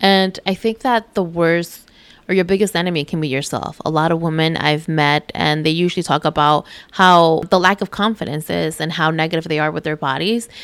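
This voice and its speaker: A woman with a normal speaking voice talks at a fairly quick pace and a fairly low pitch, with ordinary pitch variation. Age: 20s. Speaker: fashion and beauty influencer. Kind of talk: casual interview chat. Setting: recorded on location at a retreat in Mexico.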